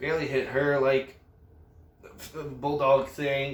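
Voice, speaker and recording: There is audible room echo and noticeable background noise as a man speaks at medium pitch. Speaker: wrestling reviewer. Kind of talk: casual recap.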